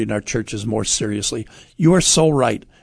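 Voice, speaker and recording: Using a plain, everyday voice, a man speaks at a fairly quick pace with lively intonation. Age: 60s. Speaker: radio host.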